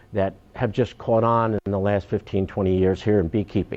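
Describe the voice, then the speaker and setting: The speaker has a Long Island accent. The pace is moderate. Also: man. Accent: New York (Long Island) American. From Long Island, New York. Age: 70s. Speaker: beekeeper. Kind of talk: talk to an audience. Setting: town hall symposium. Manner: halting, many fillers.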